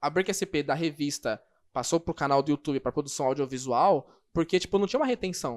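This man has a normal speaking voice, fairly high in pitch, with ordinary pitch variation at a fairly quick pace. The recording is very clean with a silent background and a dry, close sound with no echo. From São Paulo, Brazil. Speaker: breaking photo and video producer. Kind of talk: casual interview.

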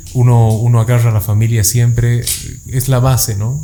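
This man's medium-pitched voice stays monotone and flat as he speaks at a moderate pace. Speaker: podcast host. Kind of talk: casual interview. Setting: studio.

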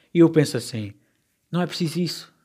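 A man speaks with a European Portuguese accent in a fairly high pitch. The recording is very clean, with a silent background. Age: 20s. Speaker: podcast host. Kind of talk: casual solo podcast monologue. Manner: halting, with many repetitions and fillers.

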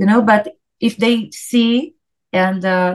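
A woman is speaking. She has a Portuguese accent. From Brazil. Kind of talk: interview. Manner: halting.

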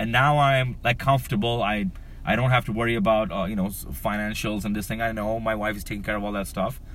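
A man with a medium pitch talks at a very fast pace. His intonation is fairly even, and audible room echo surrounds it. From Dubai, of Pakistani background. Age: 40s. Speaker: comedian. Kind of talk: casual chat.

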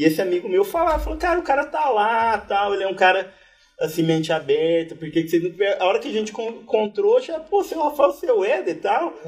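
A man's high-pitched voice with very wide pitch swings, at a fairly quick pace. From interior of São Paulo state, Brazil (Batatais). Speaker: agronomy professor. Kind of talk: casual chat. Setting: live recording with audience at university event.

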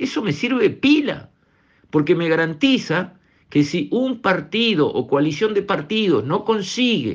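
A man in a Rioplatense accent, high-pitched, with lively intonation at a fairly slow pace. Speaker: radio commentator. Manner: emphatic, repetitive, rhetorical pleading; indignant, accusatory.

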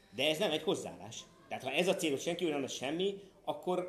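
Over noticeable background noise, a man talks at a very fast pace, his fairly high voice moving with ordinary pitch variation. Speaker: parent of a golfer, golf commentator. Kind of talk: interview. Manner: animated, repetitive false starts.

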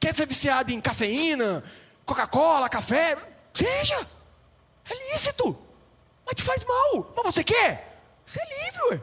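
A man with an extremely high pitch, bright, sharp and animated in tone, at a fairly slow pace with long, frequent pauses and very wide pitch swings. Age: 30s. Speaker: pastor. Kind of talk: sermon.

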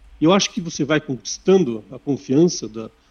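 This man has an unremarkable speaking voice, pitched fairly high, with lively intonation. He talks at a moderate pace. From Sorocaba, São Paulo state, Brazil. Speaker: operations manager. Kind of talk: interview.

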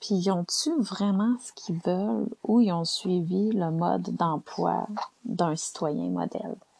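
Speaking at a very slow pace with a Quebec accent, a woman uses a medium pitch and ordinary pitch variation, her somewhat breathy voice dark and mellow in tone. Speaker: podcaster. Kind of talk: casual monologue. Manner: animated.

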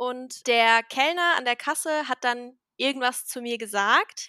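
A woman with a bright, sharp tone and a high pitch speaks with ordinary pitch variation, recorded very cleanly against a silent background with a dry, close sound and no echo. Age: 20s. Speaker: podcast co-host. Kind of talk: casual chat.

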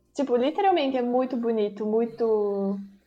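This is a woman with a normal speaking voice and a fairly high pitch. She keeps a moderate pace and fairly even intonation. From Bento Gonçalves, Rio Grande do Sul, Brazil. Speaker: university student abroad. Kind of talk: casual chat.

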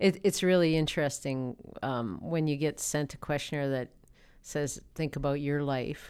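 Woman with a very deep, low pitch and a Canadian accent, at a moderate pace with ordinary pitch variation, in a very clean recording with a silent background. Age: 50s. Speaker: interview guest. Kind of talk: casual interview. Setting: studio.

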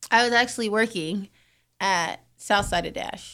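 A woman talks at a fairly slow pace with ordinary pitch variation. Her tone is bright and sharp, and the recording is very clean with a silent background. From US, San Diego and Atlanta. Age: 30s. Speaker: radio station worker. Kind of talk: casual chat.

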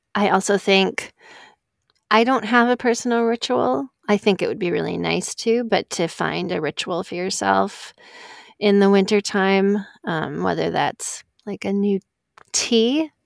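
A fairly slow pace, an unremarkable speaking voice, and ordinary pitch variation. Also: woman, medium pitch for a woman. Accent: American. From northern Wisconsin, US Midwest. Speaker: podcast editor. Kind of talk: casual chat.

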